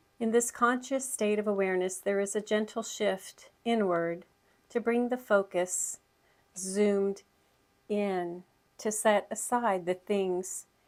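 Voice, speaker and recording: A woman's medium-pitched voice, fairly even in intonation, at a fairly slow pace. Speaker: spiritual channel host. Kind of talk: reading aloud. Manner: slow, articulated.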